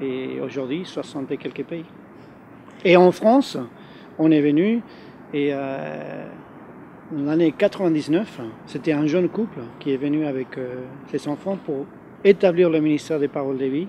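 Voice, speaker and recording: Against noticeable background noise, a man with a fairly high pitch and ordinary pitch variation speaks at a fairly slow pace with long, frequent pauses. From Argentina. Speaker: youth ministry leader. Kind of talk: interview. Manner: hesitant, many fillers.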